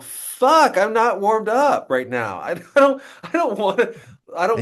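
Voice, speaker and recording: A whiny, put-on character voice, fairly high in pitch, at a moderate pace. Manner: whiny, reluctant.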